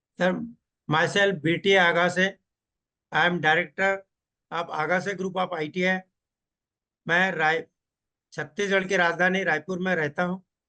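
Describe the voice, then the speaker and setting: A man talks in a high, bright, sharp voice. His intonation is monotone and flat, with long, frequent pauses. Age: 70s. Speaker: technical trainer. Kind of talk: interview.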